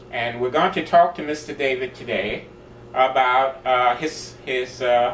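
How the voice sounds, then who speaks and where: A man speaks at a medium pitch and a fairly slow pace. His intonation is fairly even, and there is noticeable background noise. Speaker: charity interviewer. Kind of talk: interview questions.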